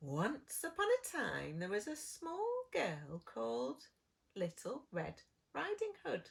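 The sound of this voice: Unforced voice, reading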